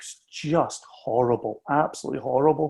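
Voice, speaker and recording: A man with a Scottish accent talks at a fairly slow pace, his somewhat breathy voice having a dark, mellow tone and a fairly high pitch. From southwest Scotland, Ayrshire. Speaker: whisky company founder. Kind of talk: casual chat.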